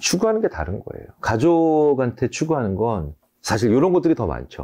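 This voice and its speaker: A man talks at a moderate pace in a dark, mellow tone. His pitch swings very widely. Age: 50s. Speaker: psychology professor. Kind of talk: interview. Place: studio.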